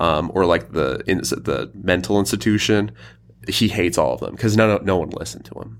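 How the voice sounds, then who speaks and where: A man with a very deep, low pitch and vocal fry speaks with very wide pitch swings. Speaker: podcast co-host. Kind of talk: casual chat.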